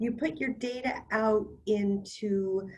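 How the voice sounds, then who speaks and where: A woman's fairly high, somewhat breathy voice. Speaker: cybersecurity panelist. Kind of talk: webinar presentation. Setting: online webinar.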